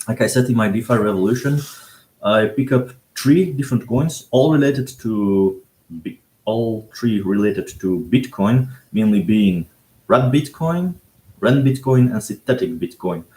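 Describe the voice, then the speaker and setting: A man speaks at a medium pitch and moderate pace, his somewhat breathy voice dark and mellow in tone, with lively intonation. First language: Dutch. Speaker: cryptocurrency blogger. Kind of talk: livestream talk. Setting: livestream. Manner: halting, many fillers.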